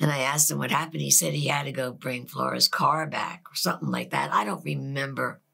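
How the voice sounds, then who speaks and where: A woman with an American accent at a very fast pace, against a quiet background. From Philadelphia, Pennsylvania; Pennsylvania. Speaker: pastor's wife. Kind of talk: testimony. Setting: studio. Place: studio. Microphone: lapel.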